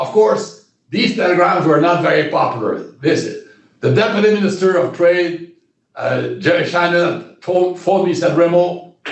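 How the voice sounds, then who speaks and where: Audible room echo around a man with a Quebec accent, high-pitched, speaking at a moderate pace with fairly even intonation. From Quebec, Shawinigan area. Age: 70s. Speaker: retired diplomat. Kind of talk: interview. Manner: halting, many repetitions.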